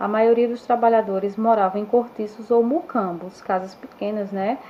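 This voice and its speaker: Noticeable background noise sits behind a woman whose fairly high voice moves at a moderate pace with fairly even intonation. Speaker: schoolteacher. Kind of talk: online history lesson. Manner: halting, with fillers and self-corrections.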